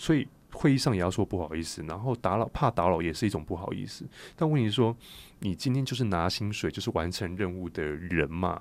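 Speaking at a fairly quick pace, a man uses lively intonation in a very deep, low voice. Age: 30s. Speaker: career coach and author. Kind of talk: interview.

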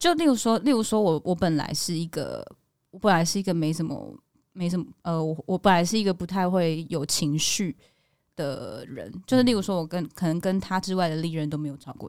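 Speaking at a fairly quick pace, a woman uses a fairly low pitch and ordinary pitch variation on a very clean recording with a silent background. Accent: Taiwanese. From Taiwan, Kaohsiung. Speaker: actress and podcast co-host. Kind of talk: casual chat.

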